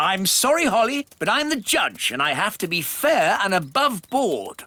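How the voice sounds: A cartoonish character voice delivers lines in a pompous tone at a fairly high pitch with very wide pitch swings. The pace is moderate.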